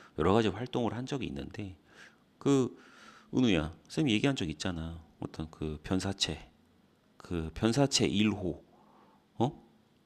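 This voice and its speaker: At a very slow pace, a man speaks with very wide pitch swings in a very clean recording with a silent background. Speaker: English tutor. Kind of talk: lecture. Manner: casual, conversational.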